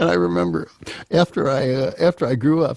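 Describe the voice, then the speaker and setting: Recorded dry and close with no echo, a man speaks in a dark, mellow tone. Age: 70s. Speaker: singer-songwriter. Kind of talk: casual chat. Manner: halting, repeats words.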